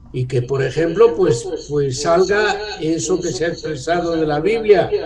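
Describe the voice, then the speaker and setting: A man's fairly high voice with fairly even intonation, amid noticeable background noise and audible room echo. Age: 70s. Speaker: author on church renewal. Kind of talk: talk to discussion group.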